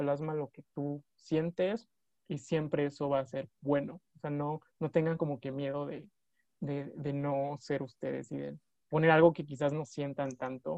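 A man's dark, mellow tone at a fairly high pitch and a fairly slow pace. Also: big swings in loudness. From Villahermosa, Tabasco, Mexico. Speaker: geology master's student. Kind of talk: casual panel chat.

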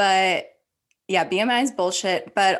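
A woman's plain, everyday voice at medium pitch, with an American accent and ordinary pitch variation. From Ohio, US Midwest. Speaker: podcast co-host. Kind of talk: casual chat.

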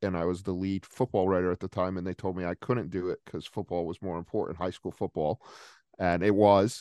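Very deep and low in pitch, a man speaks with a Rhode Island accent, fairly even intonation and a dark, mellow tone. The sound is dry and close with no echo, over a quiet background. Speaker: sports journalist. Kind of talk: casual interview.

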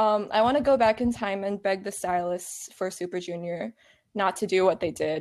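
An American accent at a moderate pace, with ordinary pitch variation and a plain, everyday voice. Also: woman, medium pitch for a woman. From Virginia, US. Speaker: guest, K-pop fan. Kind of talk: casual chat.

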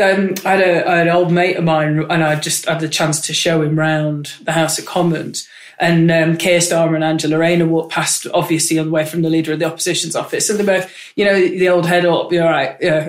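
A woman with a northern English accent talks fairly quickly in a fairly low, monotone voice with flat intonation, amid audible room echo and noticeable background noise. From Manchester, northern England. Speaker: member of parliament. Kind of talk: casual interview chat. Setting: office.

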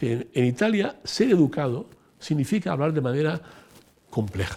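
A man speaks in a dark, mellow tone with vocal fry, pitched fairly high. His pitch swings very widely. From Italy (Rome). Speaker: former senior EU civil servant. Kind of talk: interview.

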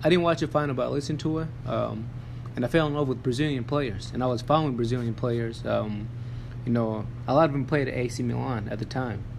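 At a fairly quick pace, a man speaks with a medium pitch and fairly even intonation. Audible room echo and noticeable background noise surround him. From Tanzania. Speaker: podcast host. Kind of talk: casual chat. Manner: halting.

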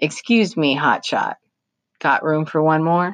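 A put-on character voice from a woman, gravelly and very deep, low in pitch, at a fairly slow pace. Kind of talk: children's novel read aloud. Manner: pleading, uneasy.

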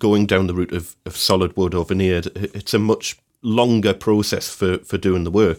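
A normal speaking voice talks at a moderate pace. The recording is very clean, with a silent background. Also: man. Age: 40s. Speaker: woodworker and podcast co-host. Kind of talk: casual chat.

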